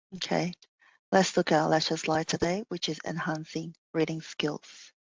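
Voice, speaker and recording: A woman with a non-native accent speaks in a very deep, low pitch with vocal fry and fairly even intonation at a moderate pace. The sound is dry and close with no echo, over a quiet background. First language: not English. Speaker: teacher. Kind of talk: lecture. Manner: halting, many fillers.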